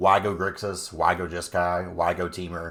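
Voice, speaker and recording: This is a man talking with an American accent. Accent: southern US accent, noted by viewers. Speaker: gaming content creator. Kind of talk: video game strategy tutorial. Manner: casual, folksy.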